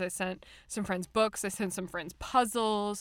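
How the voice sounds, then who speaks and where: A woman's plain, everyday voice at a medium pitch, with an American accent and a moderate pace, on a very clean recording with a silent background. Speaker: podcast host. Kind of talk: casual chat.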